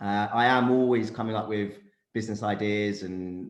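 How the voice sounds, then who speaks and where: Room echo can be heard around the voice. Its intonation is fairly even. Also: man. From London, England. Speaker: career coach and startup founder. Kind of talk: panel discussion.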